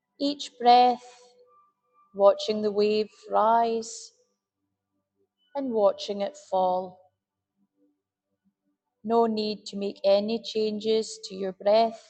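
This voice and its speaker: A woman's fairly high, monotone voice at a very slow pace, with long, frequent pauses, big swings in loudness, and music in the background. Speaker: meditation guide. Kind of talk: guided meditation. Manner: slow, soft-spoken.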